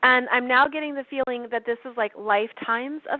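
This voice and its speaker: The speaker is a woman with a high pitch. She keeps a fairly even intonation. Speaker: astrologer podcast host. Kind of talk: channeled astrology reading.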